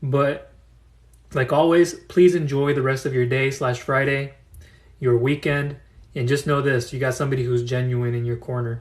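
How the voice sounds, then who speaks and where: A man speaks at a moderate pace in a somewhat breathy, medium-pitched voice with monotone, flat intonation. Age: 30s. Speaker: business funding consultant. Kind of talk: live audio room talk.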